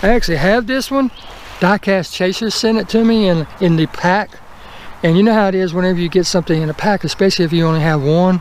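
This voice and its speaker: Talking at a very fast pace, a man with a Southern US accent uses a high pitch and ordinary pitch variation over noticeable background noise. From US South. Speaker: toy car collector YouTuber. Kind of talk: casual unboxing video.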